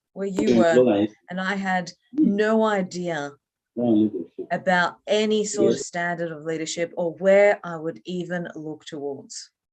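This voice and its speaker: Here is a woman with an Australian accent. She speaks fairly slowly. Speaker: leadership trainer. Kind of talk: online training session. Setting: video call. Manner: energetic.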